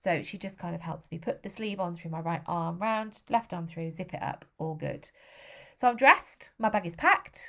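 A woman with an English accent speaks at a moderate pace in a fairly low pitch with ordinary pitch variation. Her loudness swings a lot. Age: 40s. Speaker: podcast host. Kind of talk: personal monologue.

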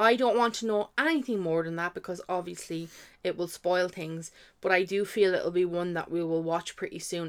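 In an Irish accent, a woman speaks at a fairly low pitch and a moderate pace with ordinary pitch variation. The recording is very clean, with a silent background. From Ireland. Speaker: podcast co-host. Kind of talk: casual chat.

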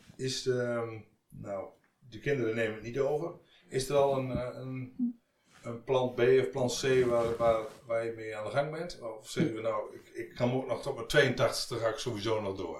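In a room with audible echo, a man of medium pitch speaks at a moderate pace with fairly even intonation and big swings in loudness. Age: 50s. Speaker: podcast host, business adviser. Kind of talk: interview. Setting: guest's office.

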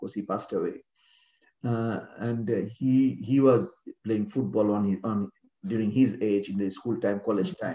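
A man with a Bengali accent speaks at a medium pitch in a dark, mellow tone. His pitch moves in an ordinary way, his loudness swings widely, and his pace is moderate. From Bangladesh, Mymensingh. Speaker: former cricketer and coach. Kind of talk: interview.

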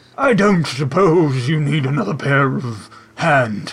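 A man puts on a character voice, fairly high in pitch, and delivers it at a fairly slow pace. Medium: actual play. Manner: polite, eager.

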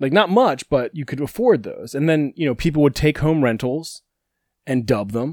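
On a very clean recording with a silent background and a dry, close sound with no echo, a man with a normal speaking voice talks at a moderate pace in a fairly high pitch with lively intonation. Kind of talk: casual chat.

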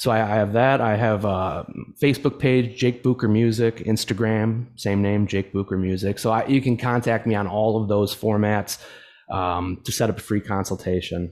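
On a very clean recording with a silent background, a man in an unremarkable speaking voice talks at a moderate pace, fairly low in pitch and fairly even in intonation. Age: 30s. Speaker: guitar teacher. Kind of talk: casual interview.

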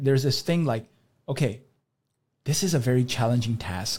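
With lively intonation and a somewhat breathy sound, the man's voice rests at a medium pitch. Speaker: doctor and supplement company founder. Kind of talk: podcast interview. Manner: repetitive stammering.

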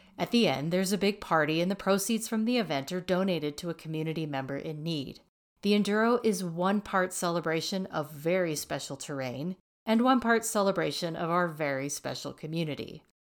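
On a very clean recording with a silent background, a woman has an ordinary speaking voice, fairly low in pitch with ordinary pitch variation. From Texas. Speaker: ski area PR person and podcast host. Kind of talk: scripted narration.

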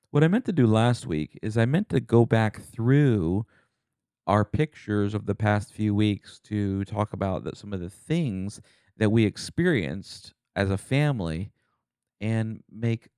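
Recorded very cleanly against a silent background, a man with a fairly low pitch speaks in a dark, mellow tone with lively intonation. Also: dry, close sound with no echo. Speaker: podcast co-host. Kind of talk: casual chat. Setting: studio. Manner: animated.

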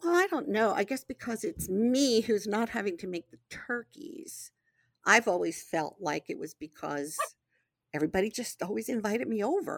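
In a very clean recording with a silent background, a woman speaks at a moderate pace with a fairly high pitch, vocal fry and very wide pitch swings. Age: 60s. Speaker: host's mother, guest. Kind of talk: casual chat.

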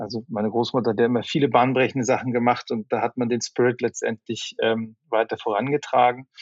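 A man's medium-pitched voice at a fairly quick pace, monotone and flat in intonation, dry and close with no echo against a quiet background. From northern Germany, Flensburg. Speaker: media company executive. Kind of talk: interview. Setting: remote call. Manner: halting, many fillers.

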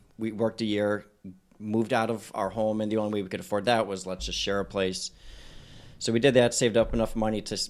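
Talking very fast, a man keeps his fairly low voice at a fairly even intonation. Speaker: dentist. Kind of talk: casual chat.

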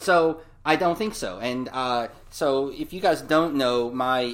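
Lively intonation runs through a plain, everyday voice. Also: man. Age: 40s. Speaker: podcast co-host. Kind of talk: casual chat.

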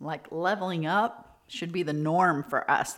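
A woman is heard in a very clean recording with a silent background. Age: 50s. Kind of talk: motivational podcast talk. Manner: warm, animated.

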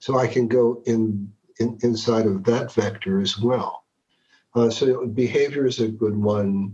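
A man speaks in a dark, mellow, somewhat breathy tone at medium pitch and a fairly slow pace. His intonation is monotone and flat, and his loudness stays very even. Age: 60s. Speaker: executive coach. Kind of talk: interview conversation.

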